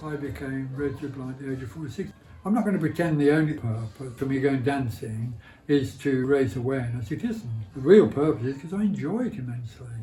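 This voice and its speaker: Music plays in the background as a man talks at a very fast pace in a Birmingham accent. His pitch is fairly high and his intonation lively. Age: 80s+. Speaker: blind campaigner. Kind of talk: interview answer.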